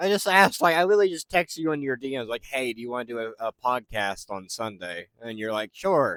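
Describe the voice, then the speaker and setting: In a dry, close sound with no echo, a man of medium pitch speaks at a very fast pace with big swings in loudness and very wide pitch swings. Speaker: podcast host, YouTuber. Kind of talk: casual chat. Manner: hesitant, halting. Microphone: spotty audio, tech issues.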